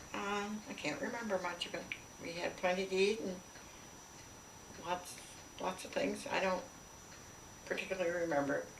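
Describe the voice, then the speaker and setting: At a moderate pace and medium pitch, a woman talks with long, frequent pauses over noticeable background noise. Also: ordinary pitch variation. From Canada. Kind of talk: interview answer.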